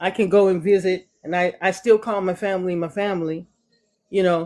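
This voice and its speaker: Using monotone, flat intonation, a woman speaks at a fairly quick pace in a medium pitch with a dark, mellow tone. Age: 60s. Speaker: live stream viewer sharing her story. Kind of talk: casual chat.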